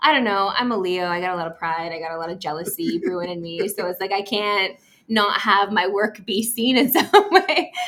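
Speaking with a Canadian accent in an ordinary speaking voice, a woman at medium pitch goes at a fairly quick pace with hardly any pauses and big swings in loudness. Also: lively intonation. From Saskatoon, Saskatchewan, Canada. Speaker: sports TV host. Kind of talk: casual interview chat. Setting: hotel suite overlooking a ballpark.

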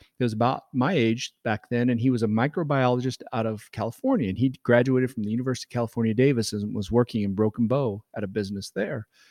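A man with a Midwestern American accent speaks very fast at medium pitch. The recording is very clean with a silent background, dry and close with no echo. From Nebraska. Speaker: winemaker. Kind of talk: casual interview. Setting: winery event room.

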